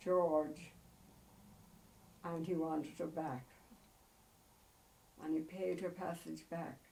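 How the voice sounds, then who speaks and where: In a Cork accent, a woman with a very deep, low pitch and a dark, mellow tone speaks in a flat monotone at a very slow pace, with long, frequent pauses and audible room echo. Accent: Cork Irish. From Ireland, Cobh, County Cork. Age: 80s+. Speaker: elderly mother interviewed about family history. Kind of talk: oral history interview. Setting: at home. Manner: halting, with many fillers.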